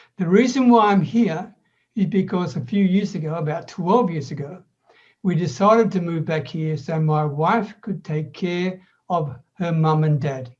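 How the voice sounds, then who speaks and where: An Australian-accented man speaks at a fairly slow pace, his high pitch showing ordinary variation. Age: 70s. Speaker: online business coach. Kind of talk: podcast interview.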